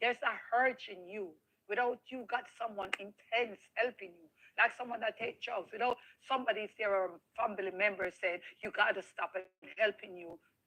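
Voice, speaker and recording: A woman with a Jamaican accent, an animated tone and a fairly high pitch, at a moderate pace with ordinary pitch variation and big swings in loudness. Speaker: interviewee sharing life story. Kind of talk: interview testimony.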